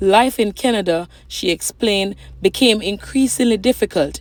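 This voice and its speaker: A woman talks at a medium speed while music plays behind her. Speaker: news reporter. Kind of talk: TV news feature narration.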